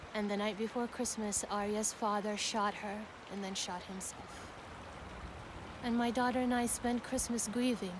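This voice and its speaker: Amid noticeable background noise, a woman speaks at a moderate pace in a fairly high voice with monotone, flat intonation. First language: Arabic. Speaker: poet. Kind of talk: personal testimony.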